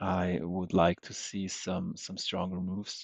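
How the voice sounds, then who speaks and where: A man with a very deep, low pitch speaks quietly at a fairly slow pace. His intonation is monotone and flat. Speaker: day trader streamer. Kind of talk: live trading commentary. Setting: livestream. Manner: halting. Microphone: unstable connection.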